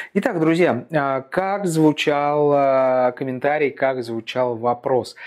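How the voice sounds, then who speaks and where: A man at a very slow pace with ordinary pitch variation against a quiet background. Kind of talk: informational talk to camera. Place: office. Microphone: lapel.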